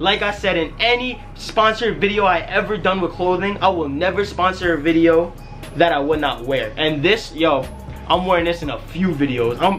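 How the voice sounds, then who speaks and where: Faint music plays in the background while a man speaks. His pace is moderate and his pitch varies in an ordinary way. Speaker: vlogger doing a sponsor shoutout. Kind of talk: casual vlog chat. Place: home room. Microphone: camera far.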